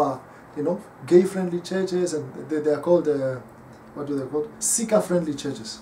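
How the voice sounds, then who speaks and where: A man talks at a moderate speed while light noise runs in the background. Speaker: pastor. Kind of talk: sermon. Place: home room. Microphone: camera far.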